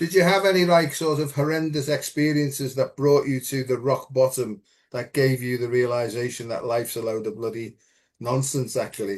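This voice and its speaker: Over a quiet background, a man with an English accent speaks at a moderate pace. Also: medium pitch for a man, ordinary pitch variation. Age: 70s. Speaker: spiritual teacher. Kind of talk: casual chat.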